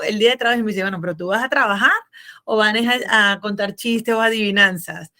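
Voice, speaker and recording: A woman with a bright, sharp tone, a fairly quick pace, and ordinary pitch variation. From Venezuela. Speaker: business consultant and accountant. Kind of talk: interview.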